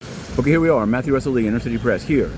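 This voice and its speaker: Over noticeable background noise, a man talks at a very fast pace and medium pitch. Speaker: independent court reporter. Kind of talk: walking vlog update. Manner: halting with repetitions.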